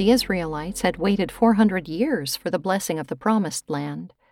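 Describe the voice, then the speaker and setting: A woman with an ordinary speaking voice talks at a fairly low pitch with ordinary pitch variation on a very clean recording with a silent background. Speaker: devotional host. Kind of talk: devotional reflection.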